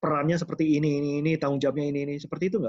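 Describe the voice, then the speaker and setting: A man's voice, pitched fairly high. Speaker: sports commentator. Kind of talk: interview host.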